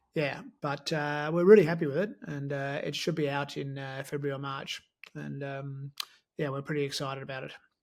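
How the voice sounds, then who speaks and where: This man speaks in an Australian accent at a moderate pace. His pitch is fairly high. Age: 70s. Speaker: sports medicine professor. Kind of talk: interview. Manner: hesitant, many fillers.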